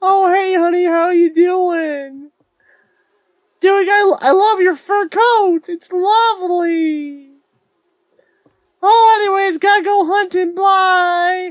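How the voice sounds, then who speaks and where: Putting on a squeaky character voice at an extremely high pitch, a woman speaks at a very slow pace with long, frequent pauses. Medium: game stream. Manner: breezy, casual.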